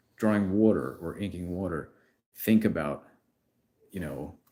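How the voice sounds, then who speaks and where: A man with a New York accent and a very deep, low pitch, at a moderate pace, in a very clean recording with a silent background. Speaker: comic artist. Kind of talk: live stream comic book review. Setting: YouTube live stream. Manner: casual, filler-heavy.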